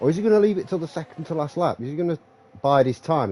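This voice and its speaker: Talking at a very fast pace, a man with a fairly high voice makes very wide pitch swings in a dry, close sound with no echo. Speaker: sim racing commentator. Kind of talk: live commentary. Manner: animated.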